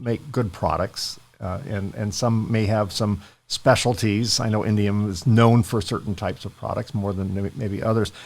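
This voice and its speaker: Speaking at a moderate pace with a fairly low pitch, the man has an ordinary speaking voice. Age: 60s. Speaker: podcast host. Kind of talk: interview.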